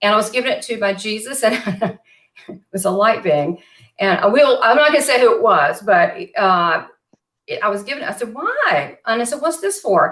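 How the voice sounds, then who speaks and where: In a Southern US accent, the speaker talks at a moderate pace with an animated tone and very wide pitch swings. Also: woman, fairly high pitch for a woman. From US South, western Kentucky. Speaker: psychic medium and show host. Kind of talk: casual interview chat. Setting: live online video chat.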